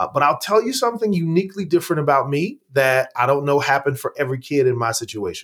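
A man talks at a fairly quick pace with an American accent and a fairly high pitch. It is an ordinary speaking voice. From Oklahoma. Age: 40s. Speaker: pastor and former college football player. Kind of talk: interview conversation.

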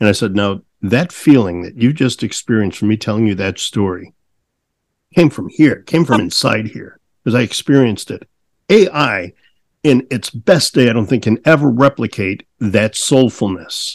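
An unremarkable speaking voice from a man at a moderate pace, dry and close with no echo. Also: medium pitch for a man, lively intonation. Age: 60s. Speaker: podcast host. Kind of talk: casual interview chat.

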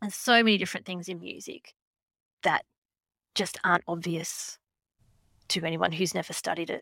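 A woman with an Australian accent, a fairly low pitch and a bright, sharp tone, long and frequent pauses, dry, close sound with no echo. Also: fairly even intonation, moderate pace. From Australia, Queensland. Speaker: music teacher. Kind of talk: interview conversation.

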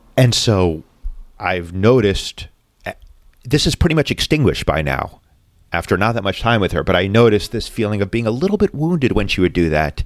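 Speaking fairly quickly with an American accent, a man uses a fairly low pitch with very wide pitch swings. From Massachusetts. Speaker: podcast host in talk-therapy format. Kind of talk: casual chat.

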